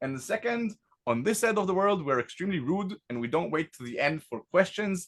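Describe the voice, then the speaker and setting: Talking at a fairly quick pace with an Israeli accent, a man lets his pitch swing very widely. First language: Hebrew. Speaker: tech company founder. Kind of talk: product demo presentation.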